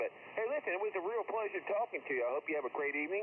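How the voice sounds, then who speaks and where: A man talking at a very fast pace with lively intonation over noticeable background noise. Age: 60s. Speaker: amateur radio operator. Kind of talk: casual radio chat. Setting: ham radio contact.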